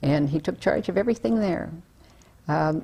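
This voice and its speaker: A woman with an American accent and a very deep, low pitch speaks at a fairly quick pace, her dark, mellow tone marked by vocal fry. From Baltimore, Maryland (Dundalk), US. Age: 70s. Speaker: interviewee recounting family history. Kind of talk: oral history interview. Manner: halting, many fillers.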